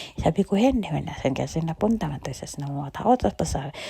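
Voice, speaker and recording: A soft-spoken woman talks at a fairly quick pace in a fairly low pitch. The sound is dry and close, with no echo. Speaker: vlogger. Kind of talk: casual travel vlog narration. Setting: indoors at home, recording voiceover. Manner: animated.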